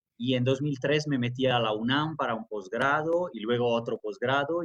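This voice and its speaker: A man speaks with a slight Italian accent at a moderate pace. His voice is somewhat breathy, and his intonation stays fairly even. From Italy. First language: Italian (speaking Spanish). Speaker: academic and journalist. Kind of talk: interview. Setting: remote conversation.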